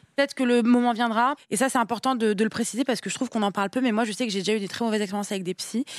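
On a very clean recording with a silent background and a dry, close sound with no echo, a woman with a fairly high pitch talks at a very fast pace with fairly even intonation. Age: 20s. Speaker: content creator. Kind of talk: casual chat.

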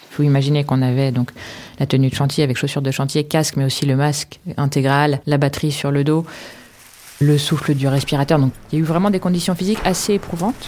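A woman with a very deep, low voice talks at a very fast pace with fairly even intonation. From France, Paris. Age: 40s. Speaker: archaeologist. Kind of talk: casual chat. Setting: on site at a construction site.

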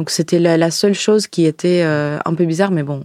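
Speaking at a fairly quick pace with a Russian accent, a woman keeps a monotone, flat intonation at a fairly low pitch. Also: dry, close sound with no echo. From Ukraine. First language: Russian (speaking French). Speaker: wine shop worker, former teacher. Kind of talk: interview. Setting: studio.

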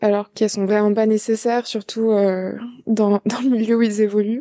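On a quiet background, a woman talks at a moderate pace in a fairly high, dark, mellow voice with monotone, flat intonation and a dry, close sound with no echo. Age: 20s. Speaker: listener testimonial. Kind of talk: testimony. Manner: halting.

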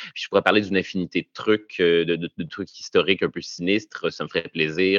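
With a Quebec accent, a man speaks very fast in a very deep, low pitch. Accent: Québécois French. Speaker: comedian. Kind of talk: interview. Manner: halting.

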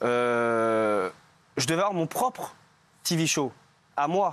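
A man speaks with lively intonation. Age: 20s. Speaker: reality TV contestant. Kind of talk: talk show interview. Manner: halting.

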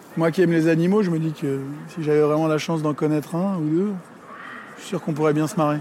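A man's fairly high voice at a very fast pace, with fairly even intonation, long and frequent pauses, and noticeable background noise. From France, Paris (5th arrondissement). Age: 30s. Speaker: film director. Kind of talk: reflective walking monologue.

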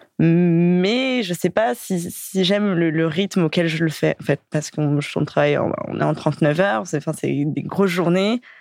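Hardly pausing, a woman with a plain, everyday voice speaks at a fairly slow pace and a fairly low pitch, with ordinary pitch variation. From Paris suburbs, Val-de-Marne. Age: 20s. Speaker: dating profile guest. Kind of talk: casual interview.

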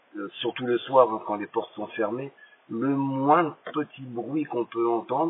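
Background noise is clearly present. Over it, a man talks. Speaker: former prisoner. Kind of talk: voice message. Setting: phone voice message. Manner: halting. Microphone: poor audio quality.

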